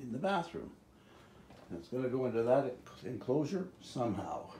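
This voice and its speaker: A man with a somewhat breathy medium-pitched voice speaks at a moderate pace. His pitch swings very widely, and audible room echo is present. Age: 70s. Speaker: DIY home renovator. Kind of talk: DIY video diary. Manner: casual, halting.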